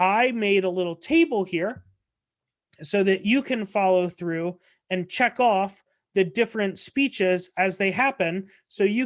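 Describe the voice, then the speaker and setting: The woman has an ordinary speaking voice, medium in pitch with ordinary pitch variation. She talks at a fairly slow pace. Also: quiet background. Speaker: debate coach. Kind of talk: training presentation. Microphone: video call.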